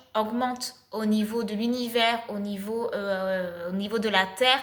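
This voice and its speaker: Amid audible room echo, a woman speaks at a fairly slow pace and a fairly high pitch with fairly even intonation. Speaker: spiritual channel, energy healer. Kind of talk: spiritual channeled message, casual monologue. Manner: hesitant, many filler sounds.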